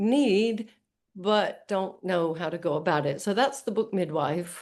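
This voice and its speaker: Against a quiet background, a woman in a New York accent talks fairly slowly at a medium pitch with ordinary pitch variation. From US, New York. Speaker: book coach. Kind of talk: interview.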